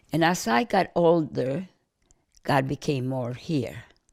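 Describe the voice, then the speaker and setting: This recording is very clean, with a silent background. The voice belongs to a woman. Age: 80s+. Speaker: elderly woman interviewee. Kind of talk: personal reflection interview. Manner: halting, with repeated false starts.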